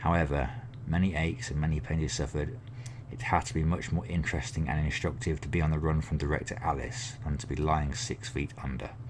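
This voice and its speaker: A fairly quick voice with very wide pitch swings and an English accent. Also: man, very deep, low pitch for a man. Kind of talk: ASMR book reading.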